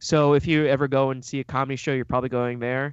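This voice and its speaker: The words come at a fairly quick pace with a quiet background behind them. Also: man. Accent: American. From US Midwest, Cleveland, Ohio. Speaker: Cleveland resident and theme park enthusiast. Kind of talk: casual chat. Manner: hesitant, many fillers.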